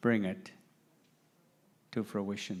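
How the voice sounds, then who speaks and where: A man on a very clean recording, silent background. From Canada, New Brunswick First Nation. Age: 70s. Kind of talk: keynote talk. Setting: assembly with audience.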